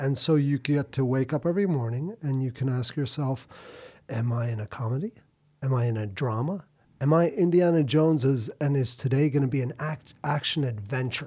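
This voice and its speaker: The voice is somewhat breathy, captured on a very clean recording with a silent background. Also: man, medium pitch for a man, ordinary pitch variation. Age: 40s. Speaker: filmmaker and surfer. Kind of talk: casual chat.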